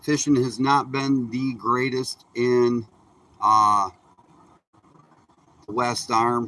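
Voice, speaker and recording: Very slowly and in a monotone, flat intonation, a man speaks at medium pitch with a bright, sharp tone. Long, frequent pauses break up his speech. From Michigan, Upper Peninsula. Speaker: fishing livestreamer. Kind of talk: casual live-stream chat. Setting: outdoors on a boat. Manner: relaxed, chatty.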